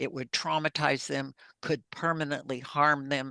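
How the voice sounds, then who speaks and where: A woman speaks at a very deep, low pitch with a bright, sharp tone and a fairly slow pace. Her intonation stays monotone and flat against a quiet background. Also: dry, close sound with no echo. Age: 70s. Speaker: abuse survivor. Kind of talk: testimony. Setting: studio.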